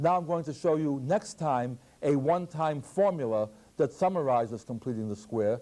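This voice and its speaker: Lively intonation marks this man's fairly high voice. His tone is dark and mellow. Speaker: math professor. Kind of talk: lecture. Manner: fast.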